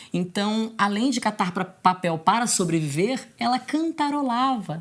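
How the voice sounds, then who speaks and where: A woman speaks in a somewhat breathy voice. Her pace is fairly slow. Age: 30s. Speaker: singer-songwriter and teacher. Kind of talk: documentary interview.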